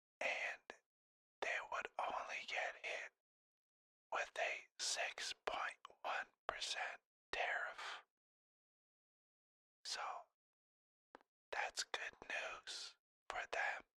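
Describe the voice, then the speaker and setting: Someone whispers at a very slow pace with long, frequent pauses, very even loudness and a dry, close sound with no echo. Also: man. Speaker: ASMR creator. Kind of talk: ASMR whisper about a topic. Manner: whispered, soft-spoken.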